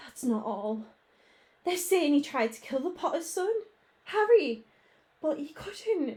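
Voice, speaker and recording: In a put-on character voice, a woman speaks shakily at a high pitch and a fairly slow pace, with very wide pitch swings and long, frequent pauses. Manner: trembling, shaken.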